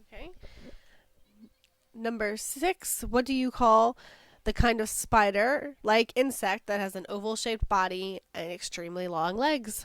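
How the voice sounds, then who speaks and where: A fairly high-pitched woman with an American accent, a fairly slow pace, ordinary pitch variation, big swings in loudness and an unremarkable speaking voice, in a very clean recording with a silent background. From Virginia. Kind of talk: casual talk to camera.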